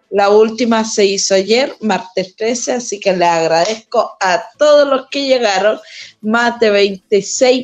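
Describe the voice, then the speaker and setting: Lively intonation from a woman with a fairly high voice. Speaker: heritage tour guide and co-host. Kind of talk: casual radio chat.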